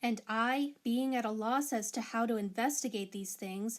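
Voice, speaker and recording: A woman with an ordinary speaking voice, fairly high pitch, ordinary pitch variation, and moderate pace, in a very clean recording with a silent background. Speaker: Bible reader. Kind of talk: Bible reading.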